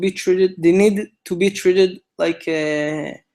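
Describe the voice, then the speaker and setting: Speaking at a high pitch with fairly even intonation, a man talks in an Israeli accent. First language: Hebrew. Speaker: event organizer, co-founder of a commemoration project. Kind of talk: instructional briefing. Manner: halting, many fillers.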